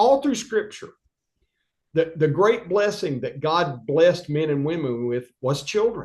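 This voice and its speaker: Pitched high, a man's voice makes very wide pitch swings. He speaks at a fairly slow pace. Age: 60s. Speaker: state legislator and governor candidate. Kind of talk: political interview. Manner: animated.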